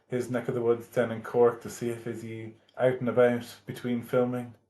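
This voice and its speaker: A man with an Irish accent, medium-pitched, in a monotone, flat delivery at a moderate pace. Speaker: podcast host. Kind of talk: podcast interview.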